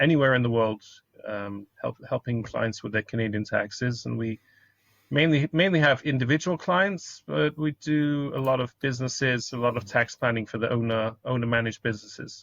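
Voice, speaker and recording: A man speaks with a British accent at medium pitch. His pace is fairly quick, with ordinary pitch variation. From United Kingdom. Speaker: accountant. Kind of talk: podcast interview. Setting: call.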